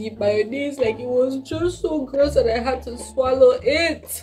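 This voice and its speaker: A woman speaks at a fairly slow pace while faint music plays in the background. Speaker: food taste-test vlogger. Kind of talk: casual vlog chat. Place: home room.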